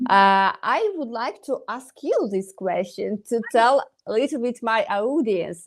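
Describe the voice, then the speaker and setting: Fairly high in pitch, a woman with a Ukrainian accent talks fairly slowly with lively intonation. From Ukraine. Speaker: dentist. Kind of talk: interview. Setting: live online stream. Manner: halting, many hesitations.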